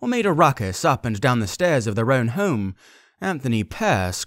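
An unforced reading voice is all that is heard here.

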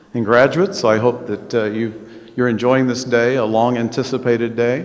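A man's voice with monotone, flat intonation. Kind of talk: ceremonial speech. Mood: warm, lightly humorous. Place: hall. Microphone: podium.

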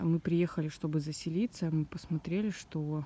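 This is an unremarkable speaking voice with ordinary pitch variation, delivered at a moderate pace. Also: woman. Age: 20s. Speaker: vlogger. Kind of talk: walking vlog tour. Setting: outdoors.

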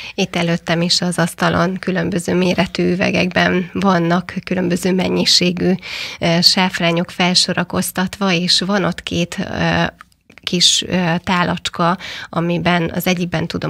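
Against a quiet background, a woman with a fairly low pitch and vocal fry speaks at a fairly slow pace in a monotone, flat intonation. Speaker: radio host. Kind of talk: radio show talk. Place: studio. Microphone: studio mic.

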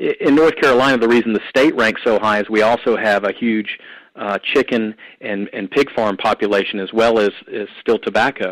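A man speaks in a Southern US accent at a medium pitch and a moderate pace. His intonation is fairly even, and the sound is dry and close with no echo. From US South, Atlanta, Georgia. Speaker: anti-trafficking ministry leader and trucking company owner. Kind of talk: testimony and teaching on a call-in show.

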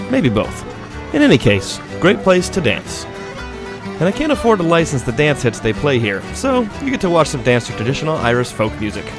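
A man talks at a fairly quick pace over background music, his voice dry with no echo. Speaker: travel show host narrator. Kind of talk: travel show voice-over narration.

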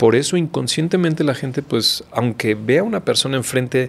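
Speaking at a moderate pace with lively intonation, a man uses an ordinary speaking voice at a medium pitch. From Mexico. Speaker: physician. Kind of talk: interview conversation.

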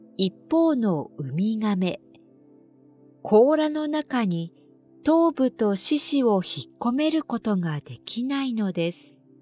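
A woman with a calm tone and fairly high pitch talks at a very slow pace, with very wide pitch swings and big swings in loudness, as music plays in the background. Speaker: announcer. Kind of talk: sleep trivia narration. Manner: calm, slow.

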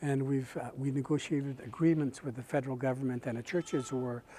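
A man talks at a fairly quick pace in a dark, mellow tone. His intonation is monotone and flat, with light background noise behind him. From Canada, British Columbia First Nations. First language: Kwakwala. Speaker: First Nations chief and residential school survivor advocate. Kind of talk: speech at a peace event. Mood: calm, reflective, earnest. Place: hall. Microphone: lapel.

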